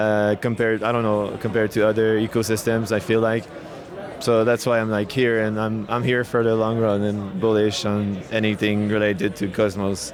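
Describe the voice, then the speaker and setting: The voice is monotone and flat, with very even loudness and a moderate pace. Noticeable background noise is present. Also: man. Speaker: co-founder of a crypto deployment tool. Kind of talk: interview at a conference. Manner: hesitant, many fillers and false starts.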